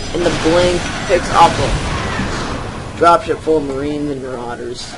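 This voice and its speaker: Over noticeable background noise and audible room echo, a man with a fairly high pitch talks at a fairly slow pace, his loudness swinging widely. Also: fairly even intonation. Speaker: amateur esports caster. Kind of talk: live game commentary. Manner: stuttering; halting, hesitant.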